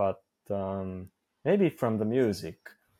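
A man with a Japanese accent at a fairly slow pace, over a quiet background. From Osaka, Japan. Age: 30s. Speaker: polyglot, language learner, YouTuber. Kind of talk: casual interview. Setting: video call from Japan. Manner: halting, self-correcting.

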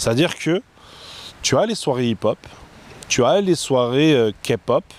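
Noticeable background noise sits behind this man as he talks very slowly. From France. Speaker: nightlife event organizer. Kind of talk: casual interview.

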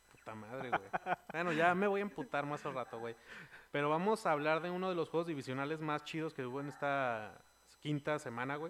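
A man's fairly high voice at a fairly quick pace with ordinary pitch variation. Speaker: podcast host. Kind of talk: casual chat. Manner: animated.

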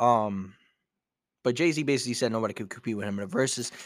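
A man with a New York accent talks at a medium pitch, with ordinary pitch variation. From New York, Brooklyn. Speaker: podcast host. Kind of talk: casual solo podcast talk.

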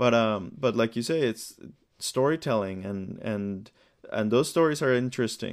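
Using an unremarkable speaking voice, a man talks at a fairly slow pace and a medium pitch. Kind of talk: casual interview.

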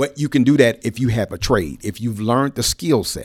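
The speaker talks at a moderate pace with an American accent, vocal fry and lively intonation. The recording is very clean with a silent background. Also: man. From Cleveland, Ohio. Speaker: retired navy civilian worker, trades advocate. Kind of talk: casual interview. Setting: studio.

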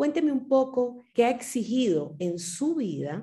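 Her voice is dark and mellow, somewhat breathy, with very wide pitch swings. The woman speaks at a very slow pace. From Ecuador. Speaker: podcast host. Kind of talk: interview.

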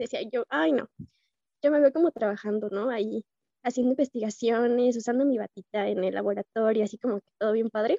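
At a fairly quick pace, a woman speaks with a fairly high pitch and ordinary pitch variation in a dark, mellow tone. Her loudness swings widely, and the sound is dry and close with no echo. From Mexico, Irapuato (Guanajuato). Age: 20s. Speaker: university student. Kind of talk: casual interview.

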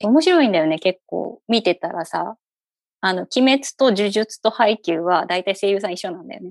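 With a slight Kyushu accent, a woman speaks with lively intonation and big swings in loudness, the sound dry and close with no echo over a quiet background. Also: medium pitch for a woman, moderate pace. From Fukuoka, Japan (eastern area near Oita). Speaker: podcast host, mother. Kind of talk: casual chat.

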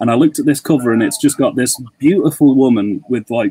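Moderate pace and ordinary pitch variation, in a British accent. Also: man. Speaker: podcast guest, horror YouTuber. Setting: online call.

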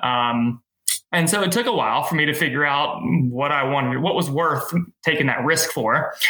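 A man talks at a moderate pace with lively intonation. His is an unremarkable speaking voice, fairly high in pitch. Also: very even loudness. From Middle Tennessee, US South. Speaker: race director and event business owner. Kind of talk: casual interview.

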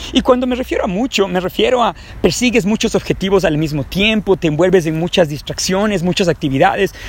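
Through noticeable background noise, a man with a high pitch talks at a fairly quick pace with ordinary pitch variation. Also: hardly any pauses. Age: 30s. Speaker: personal development podcaster. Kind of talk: motivational monologue. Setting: outdoors in a park.

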